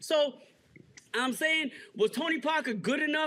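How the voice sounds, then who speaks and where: This man raises his voice. He projects it outward. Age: 60s. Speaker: basketball writer and magazine editor. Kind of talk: casual chat.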